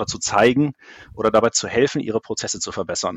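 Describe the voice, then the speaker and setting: His pitch sits in the medium range and varies in an ordinary way. The man talks at a very fast pace. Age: 40s. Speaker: IT process expert. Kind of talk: interview.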